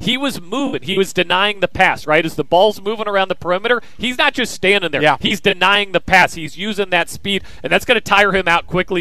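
A man with an American accent talks at a very fast pace. His pitch is high, with ordinary pitch variation. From Kansas. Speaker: sports radio host. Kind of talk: sports talk crosstalk. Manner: animated, conversational.

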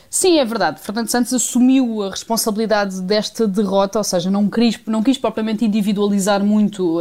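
Fairly quick and medium-pitched, this woman has an ordinary speaking voice. Her pitch varies in an ordinary way. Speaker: sports reporter. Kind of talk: radio report. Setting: remote link from Munich.

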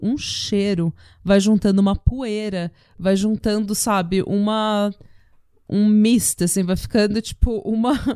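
A woman with a dark, mellow tone, fairly even intonation and a fairly slow pace, in a very clean recording with a silent background. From Brazil. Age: 30s. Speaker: true crime podcast host. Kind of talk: casual chat.

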